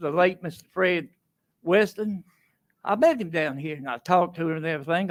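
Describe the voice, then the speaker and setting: A man with a Tennessee accent speaks at a moderate pace in a high pitch with lively intonation. The recording is very clean, with a silent background. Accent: Southern US (Tennessee). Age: 80s+. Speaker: resident commenting at public hearing. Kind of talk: public comment. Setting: council meeting podium.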